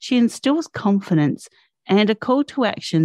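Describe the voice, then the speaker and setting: A woman with an Australian accent speaks in a dark, mellow tone, recorded dry and close with no echo. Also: quiet background. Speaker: podcast host. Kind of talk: reading guest introduction; interview podcast.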